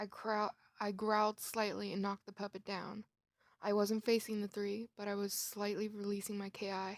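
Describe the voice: In a quiet setting, a text is read aloud plainly.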